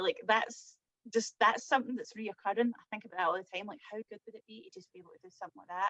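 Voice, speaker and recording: The recording of this woman with a Scottish accent has a dry, close sound with no echo. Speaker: social media artist and blogger. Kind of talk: interview answer. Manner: upbeat, chatty.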